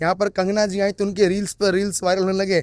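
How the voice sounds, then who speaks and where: A man with a Bengali accent speaks at a high pitch, and the sound is dry and close with no echo. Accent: Hindi with Bengali tone. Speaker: political commentator. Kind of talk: casual chat. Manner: animated.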